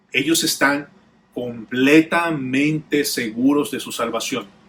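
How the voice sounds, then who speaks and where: A man talks at a very slow pace. Long, frequent pauses break up his speech. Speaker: pastor. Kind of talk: sermon.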